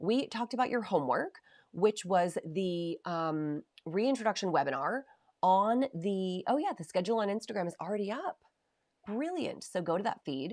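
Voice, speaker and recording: A woman with a medium-pitched voice talks in an animated tone with very wide pitch swings, on a very clean recording with a silent background. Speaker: nutrition program co-founder hosting live Q&A. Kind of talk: livestream Q&A. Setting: live video stream. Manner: fast.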